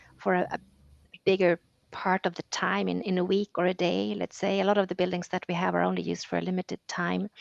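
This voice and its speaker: A woman rattles along at a very fast pace. The sound is dry and close, with no echo. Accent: Swedish. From Sweden. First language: Swedish. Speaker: EU policy officer. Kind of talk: interview.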